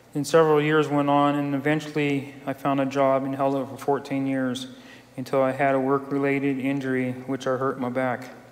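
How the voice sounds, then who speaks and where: A man with an American accent, fairly high-pitched, in a monotone, flat delivery. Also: moderate pace. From California. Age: 50s. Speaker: recovery group member. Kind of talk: testimony.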